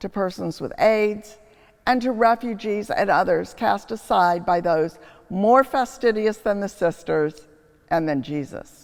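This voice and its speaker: A woman with a normal speaking voice and medium pitch talks at a fairly slow pace, her intonation lively. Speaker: preacher, history professor. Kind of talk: homily, preaching reflection.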